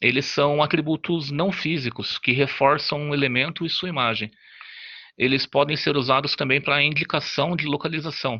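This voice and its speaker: Against a quiet background, a bright, sharp tone comes through at a moderate pace with fairly even intonation. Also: man, fairly high pitch for a man. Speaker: student presenter. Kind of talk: class presentation. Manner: halting.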